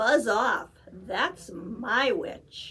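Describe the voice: A woman's put-on character voice, high-pitched, shrill, growling and croaky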